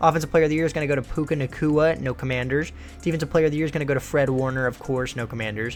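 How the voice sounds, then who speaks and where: Over music in the background, a man with a fairly high pitch speaks at a very fast pace in an upbeat tone. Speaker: gaming youtuber. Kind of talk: gameplay commentary. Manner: casual, upbeat.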